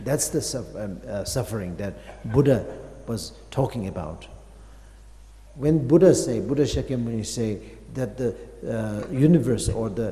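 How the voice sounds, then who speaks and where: A man at medium pitch with vocal fry and a dark, mellow tone, lively intonation, moderate pace, long and frequent pauses, and audible room echo. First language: Tibetan. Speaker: Buddhist master teaching. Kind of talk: dharma teaching. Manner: halting, many fillers.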